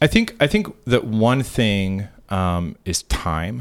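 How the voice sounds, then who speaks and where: This man has an American accent and a fairly low pitch, with ordinary pitch variation and a very slow pace. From Kansas, Wichita. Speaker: private school headmaster. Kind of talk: interview.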